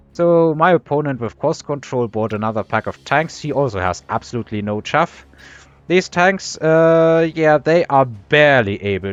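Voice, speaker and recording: A man's fairly high voice with very wide pitch swings at a moderate pace, the sound dry and close with no echo. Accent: German. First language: German. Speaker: video game commentator. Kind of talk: gameplay commentary. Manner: casual, with frequent fillers.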